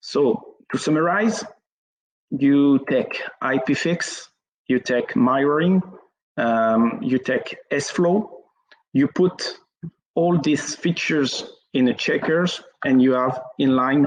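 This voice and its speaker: A very slow, lively voice in a French accent, with long, frequent pauses and very even loudness. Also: man, fairly high pitch for a man. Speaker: network engineer. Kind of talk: technical presentation. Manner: halting, many fillers.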